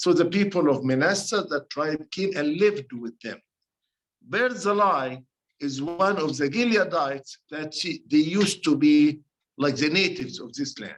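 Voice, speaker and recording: With an Arabic accent, a man talks at a moderate pace in a fairly high pitch, his lively intonation paired with big swings in loudness. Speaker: priest leading a bible study. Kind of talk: bible study teaching. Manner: halting, self-correcting.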